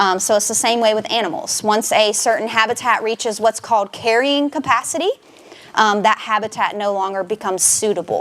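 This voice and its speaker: Speaking fairly quickly, a woman talks with a Southern US accent. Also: ordinary pitch variation. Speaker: nature center education director. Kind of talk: public talk. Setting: presentation room with audience. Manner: loud; frequent fillers (um).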